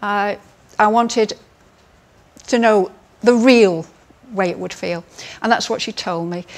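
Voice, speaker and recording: A woman with an English accent, medium-pitched, at a fairly slow pace with long, frequent pauses, fairly even intonation and big swings in loudness. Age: 60s. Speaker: cosmetic surgery patient. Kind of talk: testimony.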